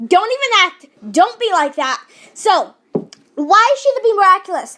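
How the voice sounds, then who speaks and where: A woman's raised, projected voice, extremely high-pitched with very wide pitch swings, at a moderate pace. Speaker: video commentator. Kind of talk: casual, chatty.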